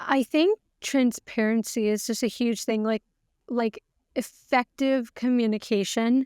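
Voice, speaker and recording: A normal speaking voice moves at a fairly slow pace with very even loudness and fairly even intonation, on a very clean recording with a silent background and a dry, close sound with no echo. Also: woman, fairly high pitch for a woman. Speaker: financial coach. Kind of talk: casual interview.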